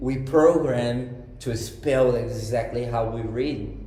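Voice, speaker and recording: A man with a Brazilian accent speaks at a medium pitch, keeping his intonation fairly even but with big swings in loudness. Noticeable background noise and audible room echo surround his voice. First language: Portuguese. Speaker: English learner guest. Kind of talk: casual chat. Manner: halting.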